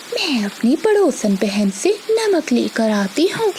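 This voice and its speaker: A cartoonish character voice from a woman, high-pitched and fairly slow, over clear background noise. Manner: sweet-talking, scheming.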